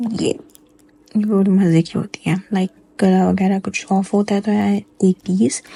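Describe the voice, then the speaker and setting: In a quiet, somewhat breathy voice with a dark, mellow tone, a woman talks in a flat monotone with long, frequent pauses, and the sound is dry and close with no echo. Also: medium pitch for a woman, moderate pace. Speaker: vlogger. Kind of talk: voice-over narration of a vlog. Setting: recording at home in the dark while baby sleeps. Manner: subdued, low energy.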